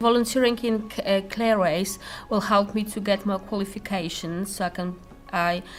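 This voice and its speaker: A woman with a Polish accent speaks at a medium pitch and a moderate pace, her intonation fairly even. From Poland. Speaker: volunteer, psychotherapy student. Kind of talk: interview testimony. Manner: halting, many hesitations.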